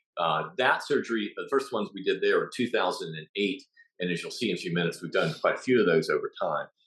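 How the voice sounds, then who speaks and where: A man with a southeastern US accent talks at a very fast pace. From southeastern United States. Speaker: ear surgeon. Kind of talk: lecture. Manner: halting.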